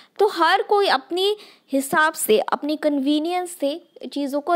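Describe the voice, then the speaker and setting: Lively intonation from a woman with a slight Northeast Indian accent. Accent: slight Northeast Indian accent in Hindi. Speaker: sociology tutor. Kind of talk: lecture. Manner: hesitant, with fillers and code-switching to English.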